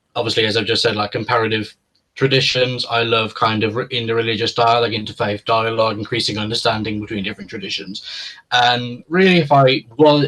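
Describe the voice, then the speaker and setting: Speaking at a fairly quick pace, a man with a British accent uses a medium pitch and ordinary pitch variation. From UK. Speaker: philosopher. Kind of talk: interview conversation. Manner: hesitant, many fillers.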